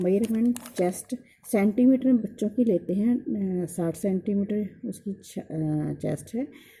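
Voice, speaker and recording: This woman's voice has a dark, mellow tone at medium pitch. It is somewhat breathy. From Punjab, India. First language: Punjabi (speaking Hindi). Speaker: sewing teacher. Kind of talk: tutorial. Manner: hesitant, many fillers.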